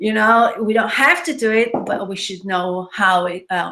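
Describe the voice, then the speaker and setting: A woman speaks with an Israeli accent. Her tone is bright and sharp. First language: Hebrew. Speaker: web designer and marketing trainer. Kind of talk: webinar presentation. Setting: live online webinar with screen share.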